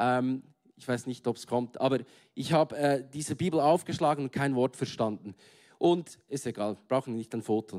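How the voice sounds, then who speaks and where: An unremarkable speaking voice moves at a moderate pace with ordinary pitch variation, recorded with a dry, close sound and no echo. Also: man, medium pitch for a man. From Switzerland, Bern. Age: 30s. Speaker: guest preacher. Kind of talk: sermon. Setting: stage with audience.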